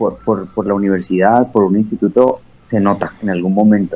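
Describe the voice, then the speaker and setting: The man's fairly low voice keeps a moderate pace and fairly even intonation. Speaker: radio host and station director. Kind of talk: casual interview chat. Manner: fluent.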